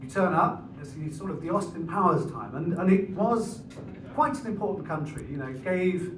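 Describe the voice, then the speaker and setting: With an English accent, a man speaks at a moderate pace with lively intonation, over noticeable background noise and audible room echo. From England. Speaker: comedian. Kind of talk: stand-up. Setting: stage with audience.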